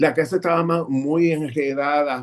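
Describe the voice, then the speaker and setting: At a fairly high pitch for a man, he delivers his words fairly slowly in an unremarkable speaking voice. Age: 60s. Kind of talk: testimony.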